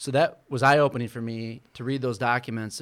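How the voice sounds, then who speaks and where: In an American accent, a man uses a normal speaking voice at a medium pitch and a fairly quick pace. His intonation is fairly even, and the recording is very clean with a silent background. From Michigan, Flint. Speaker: business owner and political activist. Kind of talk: interview.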